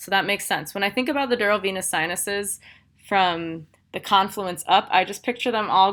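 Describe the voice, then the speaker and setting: A woman at a medium pitch talks with fairly even intonation on a very clean recording with a silent background. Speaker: instructor. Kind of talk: lecture. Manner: fast.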